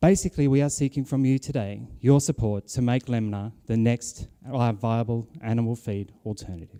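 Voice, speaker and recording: A man speaks at medium pitch with a dark, mellow tone. The sound is dry and close with no echo, in a very clean recording with a silent background. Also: ordinary pitch variation, moderate pace. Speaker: business competition presenter. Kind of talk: pitch presentation. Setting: auditorium stage with audience.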